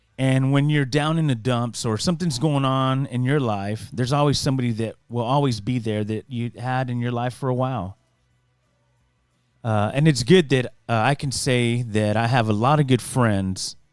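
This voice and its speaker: Music plays in the background as a man talks at a moderate pace with a medium pitch and ordinary pitch variation. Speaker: podcast host, former radio broadcaster. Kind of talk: casual solo podcast monologue. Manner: conversational, halting with fillers.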